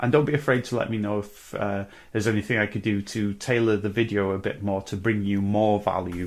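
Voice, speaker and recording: The pace is fairly quick, with a North Welsh accent. The intonation stays fairly even. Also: man, fairly low pitch for a man, very clean recording, silent background. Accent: North Welsh, guttural with rolled R's. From North Wales. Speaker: musician vlogger. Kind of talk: casual vlog monologue. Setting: indoors, corner of a room. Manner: hesitant, many fillers.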